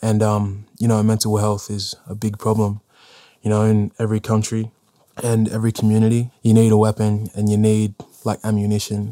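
In an Australian accent, a man speaks at a moderate pace with a monotone, flat intonation and fairly low pitch. His tone is dark and mellow, and the sound is dry and close with no echo. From northern New South Wales, Australia. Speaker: rapper. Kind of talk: interview. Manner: soft-spoken.

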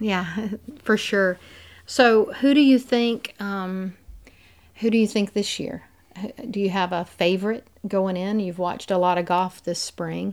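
A woman with a Southern US accent talks at a fairly slow pace, with long, frequent pauses. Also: medium pitch for a woman, ordinary pitch variation, very clean recording, silent background. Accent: Southern American. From US South, Mississippi Delta. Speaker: golfer's wife. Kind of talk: casual chat.

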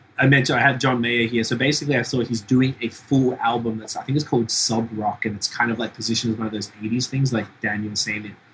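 A man talks very fast at a medium pitch, with noticeable background noise behind him. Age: 40s. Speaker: podcast host. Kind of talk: casual chat. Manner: animated.

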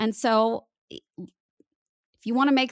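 Recorded very cleanly against a silent background with a dry, close sound and no echo, a woman speaks in a plain, everyday voice with ordinary pitch variation. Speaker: voice coach and voice actor. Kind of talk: interview conversation.

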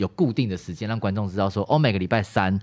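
Speaking in a very deep, low pitch, a man comes through in a very clean recording with a silent background. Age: young. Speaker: actor and YouTuber. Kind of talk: casual chat.

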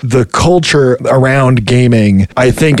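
A man uses a normal speaking voice at a medium pitch and a fairly slow pace. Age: 30s. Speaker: video game QA worker. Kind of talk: interview.

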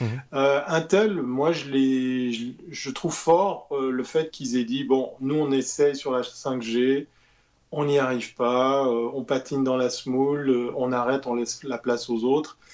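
A man's medium-pitched voice with fairly even intonation at a very slow pace. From Switzerland. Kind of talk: casual chat.

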